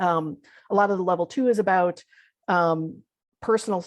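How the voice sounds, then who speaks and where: Against a quiet background, the speaker has a normal speaking voice with ordinary pitch variation. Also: woman. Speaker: visual thinking facilitator and teacher. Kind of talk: online talk / workshop presentation. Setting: video call.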